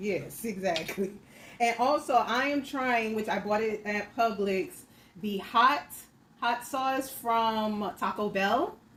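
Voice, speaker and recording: Against noticeable background noise, a woman with an American accent speaks at a very slow pace in a fairly high pitch with ordinary pitch variation. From Miami, Florida. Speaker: mukbang creator. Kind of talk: casual talk to camera while eating.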